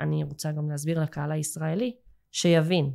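Fairly low in pitch, a woman's dark, mellow tone comes at a moderate pace on a very clean recording with a silent background. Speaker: English teacher and school owner. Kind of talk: casual interview chat.

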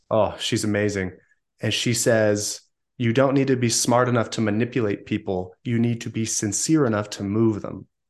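Against a quiet background, a man with an American accent speaks at a moderate pace and medium pitch, his intonation fairly even. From Southern California. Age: 20s. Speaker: sales coach and CEO. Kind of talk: interview.

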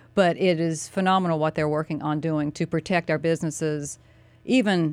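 A woman speaks with a North Carolina accent at a moderate pace. Her voice is very deep and low. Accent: Southern US (North Carolina). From US South, North Carolina (Mooresville). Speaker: county commissioner and political candidate. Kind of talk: radio interview, casual banter. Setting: radio studio.

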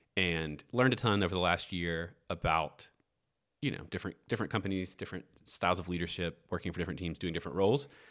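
This man's pitch is very deep and low. He talks at a very fast pace. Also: very clean recording, silent background. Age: 30s. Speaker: podcast co-host and small business owner. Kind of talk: casual chat. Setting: kitchen table.

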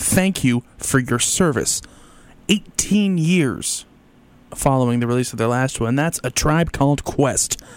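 Someone talks at a fairly slow pace in an ordinary speaking voice with ordinary pitch variation. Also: man. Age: 30s. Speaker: radio host. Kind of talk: radio music show presenting. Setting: radio studio.

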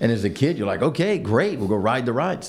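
The speaker is a man with an American accent. His pace is fairly quick. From US Midwest, northern suburbs of Chicago. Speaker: business executive. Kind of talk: interview. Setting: office.

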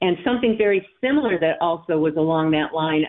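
A woman with an ordinary speaking voice talks at a moderate pace, her fairly low pitch carried by lively intonation. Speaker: volunteer. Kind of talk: interview segment.

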